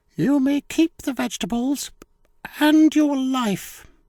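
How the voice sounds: A croaky, high-pitched put-on character voice speaks at a fairly slow pace.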